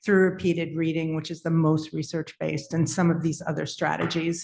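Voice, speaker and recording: At a moderate pace, a woman talks in a plain, everyday voice pitched fairly low. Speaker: school literacy administrator. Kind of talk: formal presentation.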